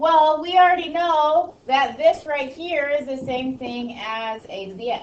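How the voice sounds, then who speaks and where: Noticeable background noise and audible room echo. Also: woman. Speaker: high school math teacher. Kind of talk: classroom lecture. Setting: classroom.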